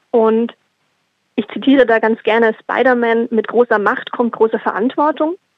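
Fairly even intonation runs through a woman's high-pitched voice. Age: 30s. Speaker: sustainability consultant and activist. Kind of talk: prepared statement.

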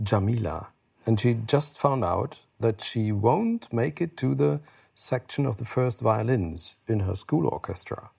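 In a very clean recording with a silent background, a man with a German accent speaks at a fairly slow pace in a medium-pitched, somewhat breathy voice. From Germany, Heidelberg. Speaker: news anchor. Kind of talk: casual chat. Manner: halting.

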